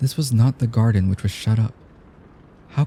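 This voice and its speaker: A man's somewhat breathy, medium-pitched voice, dark and mellow, soothing and gentle, with ordinary pitch variation. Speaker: audiobook narrator. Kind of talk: sleep story reading. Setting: rain sounds in background. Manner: soothing, gentle.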